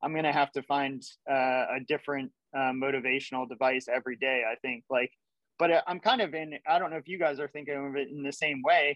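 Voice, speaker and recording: Here is a man with a normal speaking voice at a fairly high pitch. He talks at a fairly quick pace with fairly even intonation. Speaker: ultra runner guest. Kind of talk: casual roundtable conversation. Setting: phone or video call.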